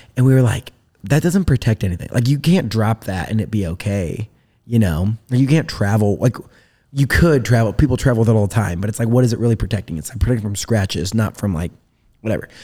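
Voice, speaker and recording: A man with an American accent, a medium pitch and a dark, mellow, somewhat breathy tone, talking very fast with lively intonation in a very clean recording with a silent background. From US Midwest, rural northern Indiana. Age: 20s. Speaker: entrepreneur. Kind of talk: casual interview. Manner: energetic.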